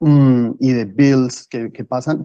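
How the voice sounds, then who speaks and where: This man's voice is dark and mellow, at medium pitch with fairly even intonation. The sound is dry and close with no echo. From Colombia, Bogotá. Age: 30s. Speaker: guest, finance professional. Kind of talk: interview conversation.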